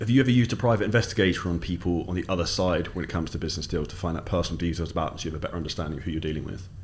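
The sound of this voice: Very fast and low-pitched, a man talks with fairly even intonation.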